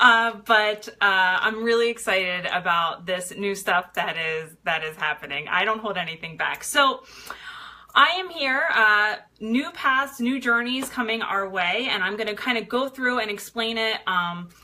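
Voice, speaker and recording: Against noticeable background noise, a woman speaks at a fairly slow pace. Her pitch is fairly high and her intonation lively. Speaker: fitness coach and network marketer. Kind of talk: live stream. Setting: live video stream.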